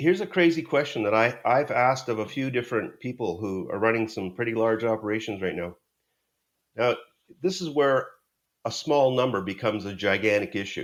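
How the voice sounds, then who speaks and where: On a very clean recording with a silent background, a man in a plain, everyday voice speaks at a medium pitch and a fairly quick pace with lively intonation. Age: 60s. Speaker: sales negotiation author and trainer. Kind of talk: podcast interview.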